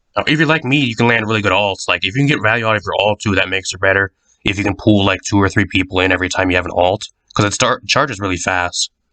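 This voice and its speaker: A man talks at a very fast pace, with ordinary variation in his pitch. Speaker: gaming content creator. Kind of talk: casual gaming commentary. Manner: casual, rambling.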